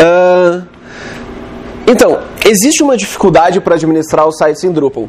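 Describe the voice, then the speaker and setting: Over noticeable background noise, a man with a high pitch and ordinary pitch variation speaks at a moderate pace with long, frequent pauses. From Rio Grande do Sul, Porto Alegre. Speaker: web developer, conference speaker. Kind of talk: conference talk. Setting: stage with audience. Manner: casual, conversational.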